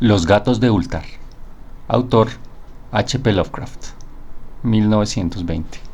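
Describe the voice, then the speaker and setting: Speaking at a very slow pace with long, frequent pauses, a man uses a fairly low voice and ordinary pitch variation. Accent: Latin American. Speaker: narrator. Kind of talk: horror story narration.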